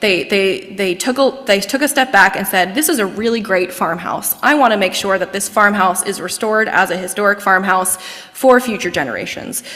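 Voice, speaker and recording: Over noticeable background noise, a woman talks at a fairly quick pace with ordinary pitch variation and hardly any pauses. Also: medium pitch for a woman. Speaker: executive director of historic house nonprofit. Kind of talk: lecture. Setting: lecture hall with in-person and online audience. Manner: fast; animated.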